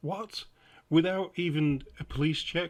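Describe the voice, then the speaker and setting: A man with a Lancashire accent speaks in a somewhat breathy voice. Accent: northern English, Blackpool. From England. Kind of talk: political reaction commentary.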